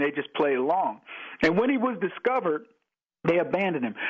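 A man with an American accent, high-pitched, with very wide pitch swings and a fairly quick pace. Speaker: radio host and author. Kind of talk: radio interview. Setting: phone call.

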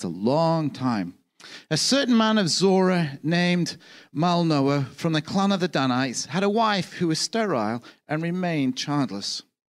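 Speaking at a moderate pace with a high pitch and very wide pitch swings, a man is heard on a very clean recording with a silent background. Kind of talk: sermon. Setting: church. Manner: casual, filled with hesitations.

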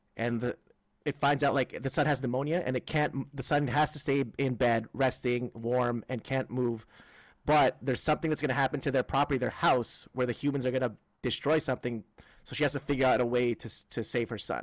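On a very clean recording with a silent background, a man with a Filipino accent talks fairly quickly at medium pitch, his intonation fairly even. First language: Tagalog. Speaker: comedian and podcast co-host. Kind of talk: casual chat.

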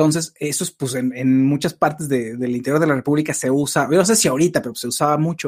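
Here a man talks at a very fast pace. His pitch is fairly high, with ordinary pitch variation. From Mexico City. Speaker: live-stream host, film and TV commentator. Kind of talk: casual chat. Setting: live stream.

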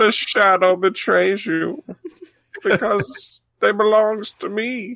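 A female-sounding voice takes on a put-on character voice at medium pitch. The pace is very slow. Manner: menacing, dramatic.

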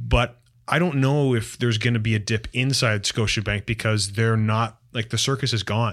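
Recorded very cleanly over a silent background, a man with an unremarkable speaking voice and a Canadian accent talks at a medium pitch and moderate pace, with fairly even intonation and very even loudness. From Canada, York region near Toronto. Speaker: sports journalist. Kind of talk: casual chat.

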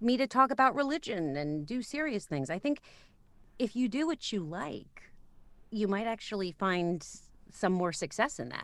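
A woman speaks fairly slowly, with long, frequent pauses and very wide pitch swings. The recording is very clean with a silent background. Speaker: voiceover artist and audiobook narrator. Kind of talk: casual interview chat. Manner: natural, unpolished delivery.

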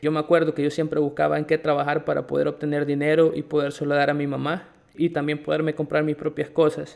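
A very fast, flat monotone from a man with a fairly high pitch. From El Salvador. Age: 20s. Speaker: podcast host and English academy manager. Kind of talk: personal testimony.

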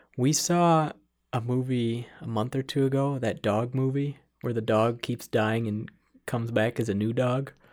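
Speaking at a moderate pace with an American accent, a man at medium pitch uses fairly even intonation in an ordinary speaking voice. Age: 40s. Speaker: podcast co-host. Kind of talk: casual chat.

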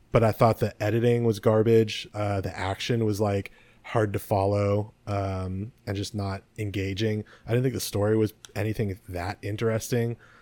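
A dark, mellow tone with a Californian accent, monotone, flat intonation, and a moderate pace. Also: man, fairly low pitch for a man. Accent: General American (Californian). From US West Coast (San Mateo, California). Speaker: podcast co-host. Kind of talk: casual chat. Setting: video call.

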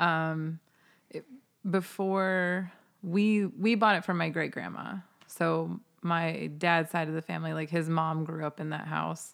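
A woman with an American accent and a fairly low pitch, an unremarkable speaking voice, speaks at a fairly slow pace on a very clean recording with a silent background. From US Midwest, Ohio. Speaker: podcast guest. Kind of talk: casual chat.

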